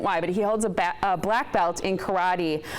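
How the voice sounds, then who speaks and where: A woman is heard talking over noticeable background noise. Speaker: TV presenter hosting awards. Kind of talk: award presentation speech. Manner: loud; animated.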